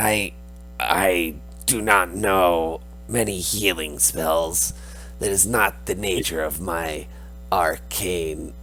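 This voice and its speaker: In a put-on character voice with a very deep, low pitch, a man speaks at a very slow pace with long, frequent pauses over clear background noise. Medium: actual play. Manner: measured, formal.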